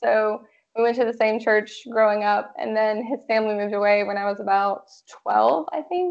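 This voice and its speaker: This woman has an American accent and a normal speaking voice, pitched fairly high. Her pitch varies in an ordinary way, and her pace is moderate. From Georgia (US South). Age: 20s. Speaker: military spouse, administrative assistant. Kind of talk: casual interview.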